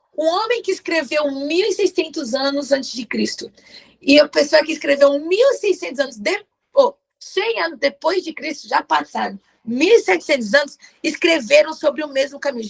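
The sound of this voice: In a put-on character voice, a woman speaks at a moderate pace with a high, hoarse pitch. Her pitch swings very widely.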